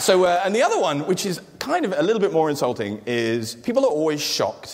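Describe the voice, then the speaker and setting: Amid noticeable background noise and audible room echo, a man with a British accent speaks at a fairly quick pace with very wide pitch swings. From England. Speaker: comedian. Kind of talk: stand-up. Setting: stage with audience. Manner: hesitant, with frequent fillers.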